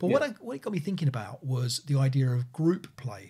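A man's dark, mellow, somewhat breathy voice at a moderate pace, with ordinary pitch variation. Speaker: podcast co-host. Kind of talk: casual podcast discussion. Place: home room.

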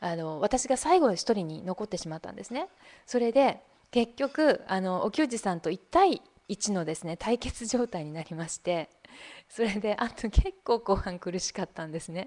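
A woman with an ordinary speaking voice talks at a moderate pace with lively intonation and big swings in loudness, the sound dry and close with no echo over a quiet background. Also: medium pitch for a woman. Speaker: online broadcaster and seminar organizer. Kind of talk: live-stream presentation. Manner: polite, formal.

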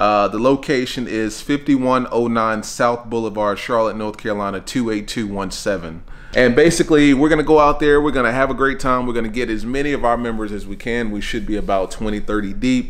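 At a moderate pace, a man talks with hardly any pauses. His pitch variation is ordinary. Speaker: car club member vlogger. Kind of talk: casual vlog chat. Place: home room. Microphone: phone near.

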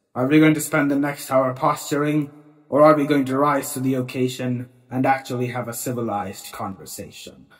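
A man puts on a character voice at a medium pitch. He moves at a fairly quick pace. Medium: audio drama.

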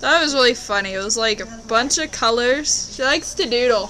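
With light background noise, a woman speaks with ordinary pitch variation. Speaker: vlogger. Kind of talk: casual vlog chat. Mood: amused, chatty storytelling. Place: home room. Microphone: webcam.

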